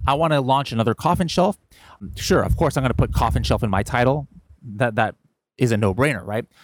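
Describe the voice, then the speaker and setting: A man's medium-pitched voice with vocal fry and very wide pitch swings, dry and close with no echo, on a very clean recording against a silent background. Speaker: e-commerce seller coach. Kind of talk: tutorial. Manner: fast; casual.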